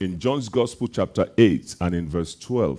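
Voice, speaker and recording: A man at a fairly slow pace, with ordinary pitch variation, in a quiet background. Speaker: preacher. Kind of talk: sermon. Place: church. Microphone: headset.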